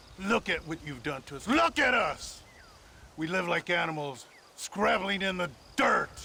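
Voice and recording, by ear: In a put-on character voice, the speaker delivers lines at a fairly slow pace with lively intonation, vocal fry and a bright, sharp tone. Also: man, high pitch for a man.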